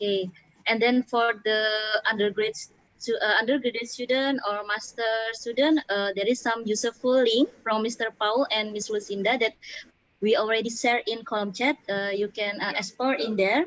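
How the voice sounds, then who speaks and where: A woman talks at a moderate pace with an Indonesian accent. Her fairly high voice keeps a fairly even intonation. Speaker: webinar moderator. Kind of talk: webinar moderation. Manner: halting, many fillers.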